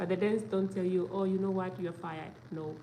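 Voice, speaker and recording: A woman with a fairly low pitch and fairly even intonation is heard amid noticeable background noise and audible room echo. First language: not English; learning Danish as a foreigner. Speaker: vlogger. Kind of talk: casual vlog talk to camera. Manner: hesitant, many fillers.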